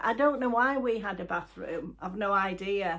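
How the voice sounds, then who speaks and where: With a Yorkshire accent, a woman at a medium pitch talks at a moderate pace with ordinary pitch variation. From northern England, Halifax, West Yorkshire. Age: 70s. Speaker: YouTuber. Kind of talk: casual chat. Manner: halting.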